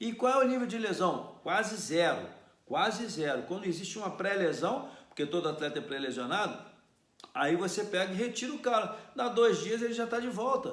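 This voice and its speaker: A man's high-pitched, animated voice with lively intonation at a moderate pace, plus audible room echo. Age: 60s. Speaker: football coach. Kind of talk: solo commentary.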